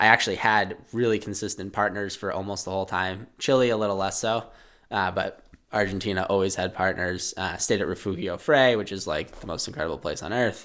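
A man with an American accent has an ordinary speaking voice at a fairly low pitch. He talks at a fairly quick pace with fairly even intonation. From Massachusetts. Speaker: endurance skier. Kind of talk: interview. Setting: studio.

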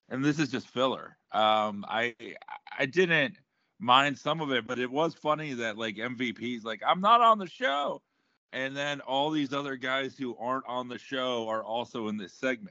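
A man's plain, everyday voice with an American accent, medium pitch, ordinary pitch variation and a moderate pace. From South Florida. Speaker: comedian. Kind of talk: casual chat.

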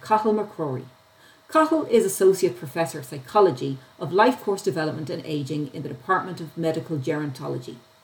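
A woman with an Irish accent speaks fairly quickly in a fairly low voice, her loudness swinging widely. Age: 40s. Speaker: policy analyst, podcast host. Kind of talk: interview.

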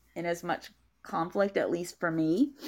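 A woman with an American accent speaks at a fairly low pitch with fairly even intonation. The recording is very clean, and the background is silent. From US South, Upper East Tennessee. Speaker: novelist. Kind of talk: interview. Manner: halting.

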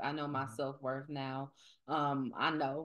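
Speaking at a fairly slow pace, a woman is heard against a quiet background. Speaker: podcast host. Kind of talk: casual podcast conversation.

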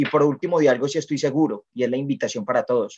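A man talks fairly quickly, his pitch fairly high and his pitch variation ordinary. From Colombia, Medellín. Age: young. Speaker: network marketing entrepreneur. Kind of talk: interview.

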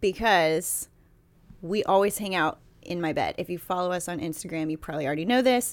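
A woman speaks at a fairly quick pace in a plain, everyday voice with ordinary pitch variation, on a very clean recording with a silent background. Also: fairly low pitch for a woman. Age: 30s. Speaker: podcast co-host. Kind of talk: casual chat. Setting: home recording, in a bed.

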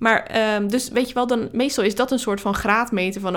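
The recording is very clean, and the background is silent. Intonation remains fairly even. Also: woman. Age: 30s. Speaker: marketing coach podcaster. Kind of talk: solo podcast monologue.

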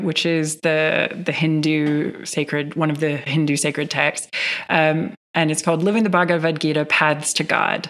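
In a very clean recording with a silent background, a woman with an unremarkable speaking voice and an American accent talks at a fairly low pitch and a fairly slow pace. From US Midwest, Northern Michigan. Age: 30s. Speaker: yoga teacher and meditation guide. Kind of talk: casual interview chat.

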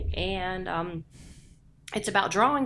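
A woman with a fairly low, bright, sharp voice and vocal fry speaks at a fairly slow pace with very wide pitch swings, on a very clean recording against a silent background. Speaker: podcast co-host. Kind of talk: casual chat.

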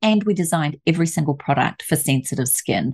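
A woman is talking. Nothing much sounds behind her. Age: 50s. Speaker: aromatherapist and author.

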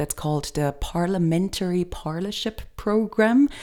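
A woman with a German accent speaks in a dark, mellow tone with lively intonation at a moderate pace, in a very clean recording with a silent background. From Germany. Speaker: guest. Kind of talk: casual chat.

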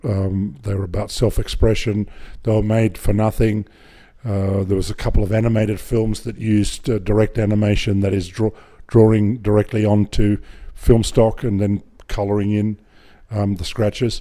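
Fairly low-pitched male speech with a dark, mellow tone, in an Australian accent, at a moderate pace with monotone, flat intonation. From Australia (Griffith, rural New South Wales). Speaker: film director. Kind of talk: interview. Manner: halting.

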